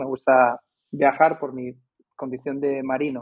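This man talks at a fairly slow pace in a normal speaking voice, his pitch medium. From Madrid, Spain. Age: 50s. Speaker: basketball coach and author. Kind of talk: casual interview.

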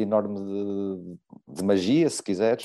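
Against a quiet background, a man speaks at a fairly low pitch. His tone is dark and mellow. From Portugal. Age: 50s. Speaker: novelist and former journalist. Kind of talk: interview. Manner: halting, many repetitions.

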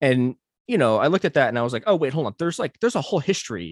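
A man with an American accent and very wide pitch swings, in a dry, close sound with no echo and a quiet background. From US, Chinese American community. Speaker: writer and researcher. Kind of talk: interview conversation. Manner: halting, many repetitions.

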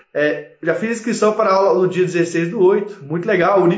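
A man speaks at a moderate pace with a high pitch. The clip has noticeable background noise and audible room echo. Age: 30s. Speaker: lawyer and startup law educator. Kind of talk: live stream talk to viewers. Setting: live stream.

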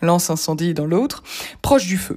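Somewhat breathy woman at a fairly quick pace, lively in intonation. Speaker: columnist. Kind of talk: reading aloud. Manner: formal.

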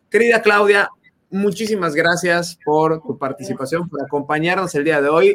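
Energetic and high in pitch, a man with a Mexican accent speaks at a moderate pace with a bright, sharp tone and ordinary pitch variation. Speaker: podcast host and business coach. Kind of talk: casual chat. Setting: Facebook live video stream.

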